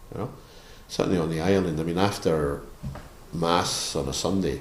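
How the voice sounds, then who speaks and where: In a west of Scotland accent, a man with a very deep, low voice speaks at a moderate pace with fairly even intonation, with audible room echo. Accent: west of Scotland Scottish. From Scotland (Barrhead, near Glasgow). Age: 70s. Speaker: missionary priest. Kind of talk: interview. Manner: halting.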